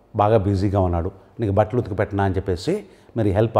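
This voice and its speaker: A man speaks at a fairly low pitch with a dark, mellow tone. His intonation stays fairly even. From Telugu-speaking India. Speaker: English language teacher. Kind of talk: tutorial. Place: studio. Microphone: lapel.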